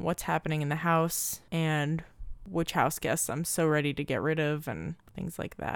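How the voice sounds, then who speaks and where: Speaking at a moderate pace, a woman with an American accent uses a very deep, low pitch. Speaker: podcast host. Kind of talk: casual solo monologue.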